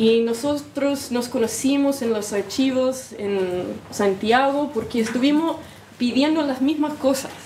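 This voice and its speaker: With audible room echo and noticeable background noise, a woman speaks at a fairly slow pace and a high pitch, her pitch varying in an ordinary way. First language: English (speaking Spanish). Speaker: historian researcher. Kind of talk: lecture. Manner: halting, self-correcting.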